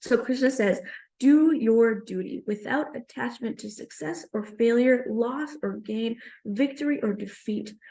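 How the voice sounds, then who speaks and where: A woman with a fairly high yet dark, mellow voice talks fairly slowly, with ordinary pitch variation and big swings in loudness. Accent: New York. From Queens, New York. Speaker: stand-up comedian. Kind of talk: comedic spiritual talk.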